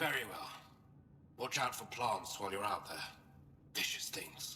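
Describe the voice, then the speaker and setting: A man uses a raspy, put-on character voice at a moderate pace. Clear background noise runs behind him. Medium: video game. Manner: sarcastic, impatient.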